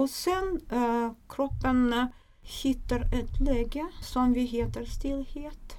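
A woman with a Russian accent speaks at a very slow pace. Her pitch is high, with ordinary pitch variation. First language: Russian (speaking Swedish). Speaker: craniosacral therapist and nurse. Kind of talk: interview explanation. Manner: hesitant with fillers.

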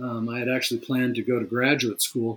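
A man speaks at a medium pitch. He has a Californian accent. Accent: Californian American English. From Northern California. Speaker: fly rod company president and designer. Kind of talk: interview. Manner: hesitant with frequent ums.

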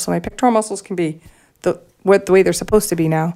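A woman speaks with a dark, mellow tone at a fairly low pitch. Her intonation stays fairly even. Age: 50s. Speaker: artist and breast cancer survivor. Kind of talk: casual interview.

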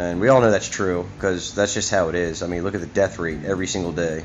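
Speaking at a very fast pace, a man with a very deep, low pitch keeps his intonation fairly even over noticeable background noise. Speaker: podcast host. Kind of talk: casual rant, solo podcast monologue. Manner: informal, profane, opinionated.

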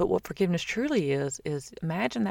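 A woman with a Southern US accent on a very clean recording with a silent background. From US South. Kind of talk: casual faith talk monologue. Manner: chatty.

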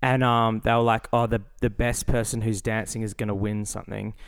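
Talking at a fairly quick pace, a man with an Australian accent has a medium pitch. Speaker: podcast co-host. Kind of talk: casual chat.

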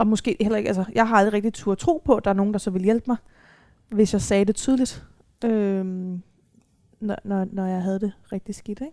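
Her dark, mellow tone comes through a very clean recording with a silent background, the speaker a woman. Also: medium pitch for a woman, ordinary pitch variation, moderate pace. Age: 20s. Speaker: social psychiatry worker with lived experience of self-harm. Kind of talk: live panel talk. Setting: live talk event.

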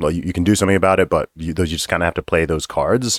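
Very deep and low, a man's voice comes through a very clean recording with a silent background and a dry, close sound with no echo. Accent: American. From Saudi Arabia, American school. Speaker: rapper and commentator. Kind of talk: casual interview.

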